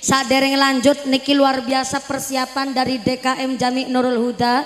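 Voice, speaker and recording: Noticeable background noise sits under a woman's high-pitched voice. She speaks in a flat monotone. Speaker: female Islamic preacher. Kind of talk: sermon. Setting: village religious gathering with PA system. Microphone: echo effect removed from sound system.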